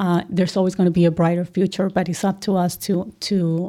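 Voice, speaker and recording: A woman with a Colombian accent speaks in a dark, mellow tone with very even loudness and hardly any pauses. The recording is very clean, with a silent background. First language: Spanish. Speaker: accounting firm executive. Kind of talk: interview.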